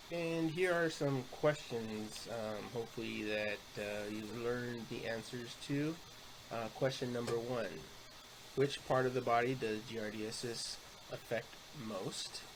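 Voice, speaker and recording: In a room with audible echo, a man talks at a fairly slow pace with medium pitch and ordinary pitch variation. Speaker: student presenter. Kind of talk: class presentation. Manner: halting, many fillers.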